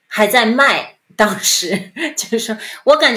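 A woman speaks with lively intonation in a bright, sharp tone at a fairly high pitch. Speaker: former advertising executive. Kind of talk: interview. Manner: halting.

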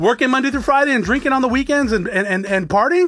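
A man's voice at an extremely high pitch. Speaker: podcast host and business owner. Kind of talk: motivational monologue. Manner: unscripted, off the cuff.

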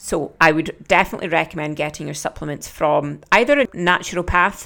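On a very clean recording with a silent background, a woman with a Scottish accent speaks at a moderate pace in a fairly low pitch. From Scotland. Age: 30s. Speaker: podcast host and fitness coach. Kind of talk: solo podcast talk.

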